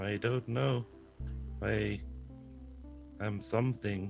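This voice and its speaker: Someone speaks in a put-on character voice at a very slow pace. Clear music plays in the background. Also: man, fairly low pitch for a man. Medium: actual play. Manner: flat, terse, literal.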